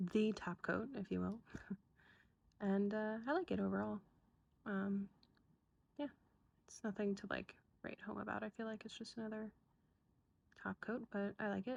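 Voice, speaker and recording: A soft-spoken woman at a moderate pace, with long, frequent pauses. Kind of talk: ASMR show-and-tell, soft-spoken rambling to camera. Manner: soft-spoken, rambling, casual.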